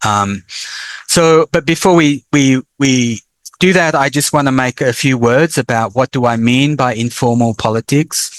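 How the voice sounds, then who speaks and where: A man with an Australian accent, medium pitch, ordinary pitch variation and a fairly slow pace, in a very clean, dry, close recording with no echo and a silent background. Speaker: professor. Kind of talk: lecture.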